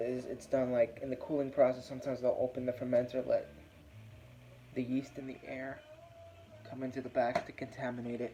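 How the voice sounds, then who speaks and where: A quiet man with a relaxed tone and medium pitch speaks at a moderate pace in a flat monotone, with long, frequent pauses, big swings in loudness, and noticeable background noise. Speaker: beer reviewer. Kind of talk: casual video review. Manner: quiet, keeping voice down; relaxed, with fillers.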